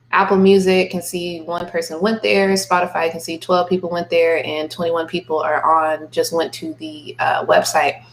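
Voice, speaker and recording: Behind the fairly even intonation, background noise is noticeable. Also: woman, fairly low pitch for a woman, moderate pace. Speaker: music marketing tutor and artist. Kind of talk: screen-share tutorial. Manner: calm, monotone; casual, relaxed.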